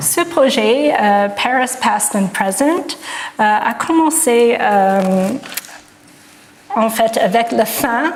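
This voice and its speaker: A woman with a slight non-native accent speaks over noticeable background noise, with audible room echo. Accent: slight foreign accent in French. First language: English (speaking French). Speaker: art historian, professor. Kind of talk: lecture. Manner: halting, many hesitations.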